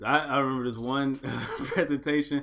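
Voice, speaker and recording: This man's voice sits at a medium pitch. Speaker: podcast co-host. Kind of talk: casual chat. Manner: fast.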